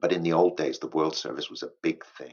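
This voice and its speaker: A man speaks with a British accent. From England. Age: 60s. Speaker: English teacher. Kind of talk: educational monologue for English learners. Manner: hesitant, with fillers and restarts.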